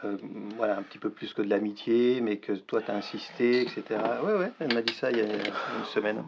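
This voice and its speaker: Noticeable background noise sits under a man's medium-pitched voice. He keeps a fairly quick pace with fairly even intonation. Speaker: actor. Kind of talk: acted dramatic dialogue scene. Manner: agitated, hesitant.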